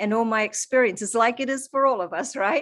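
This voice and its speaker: Here a woman speaks with a slight New Zealand accent. Her intonation is lively and her pace moderate. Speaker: holistic coach. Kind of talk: interview.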